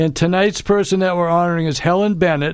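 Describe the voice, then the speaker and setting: The speaker is a man whose voice sits high. His intonation is mostly level. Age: old. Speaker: radio co-host. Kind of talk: casual chat. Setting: radio studio.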